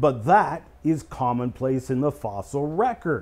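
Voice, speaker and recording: This is a man speaking. He has a Canadian accent. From Canada, Eastern Ontario; Ontario. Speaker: creation scientist and speaker; speaker. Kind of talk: casual explanatory discussion. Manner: hesitant fillers. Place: studio.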